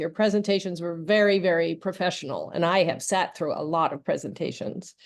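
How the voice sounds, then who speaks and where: With noticeable background noise behind her, a woman delivers her words fairly quickly and with fairly even intonation. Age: 60s. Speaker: nonprofit supporter. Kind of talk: video call Q&A. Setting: video call.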